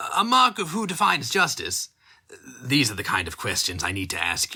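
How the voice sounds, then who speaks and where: Using a put-on character voice, a man talks at a fairly quick pace with a fairly high pitch. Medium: read story. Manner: sly, insinuating.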